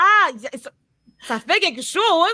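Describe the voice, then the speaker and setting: Heard in a dry, close sound with no echo, a woman's bright, sharp tone moves through very wide pitch swings. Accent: Quebec. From Quebec, Montreal and Laval. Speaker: podcast host. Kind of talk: casual chat.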